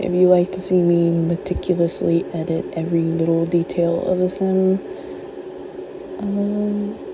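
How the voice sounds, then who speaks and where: The speaker is soft-spoken, with a very slow pace and fairly even intonation against noticeable background noise. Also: woman. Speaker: gaming content creator. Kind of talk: casual gameplay commentary. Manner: soft-spoken, chill.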